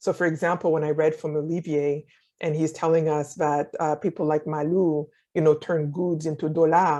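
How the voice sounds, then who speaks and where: A woman with a French accent, very deep and low in pitch, with a dark, mellow tone, monotone, flat intonation, a moderate pace and a quiet background. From Haiti. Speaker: novelist and scholar. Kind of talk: interview.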